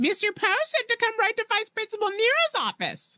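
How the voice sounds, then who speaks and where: This is a put-on character voice, shrill and extremely high in pitch. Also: moderate pace. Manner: mocking, mimicking.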